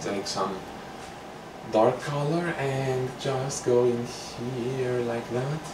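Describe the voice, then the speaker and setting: Noticeable background noise and audible room echo surround a man who talks in a relaxed tone at medium pitch. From Greece. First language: Greek. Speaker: painting instructor. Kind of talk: tutorial. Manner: casual, relaxed.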